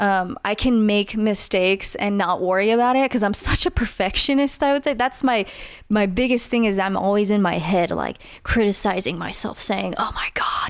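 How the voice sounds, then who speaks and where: With an American accent, a woman speaks at a moderate pace and medium pitch. Her pitch variation is ordinary and her loudness very even. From northeast Las Vegas, Nevada. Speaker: singer-songwriter. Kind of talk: podcast interview.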